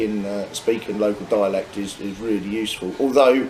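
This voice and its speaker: A man talks at a moderate pace with a Norfolk accent, fairly low in pitch. His intonation is fairly even, and there is noticeable background noise. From Norfolk, England. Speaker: English teacher, travel vlogger. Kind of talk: casual chat. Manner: halting, repetitive.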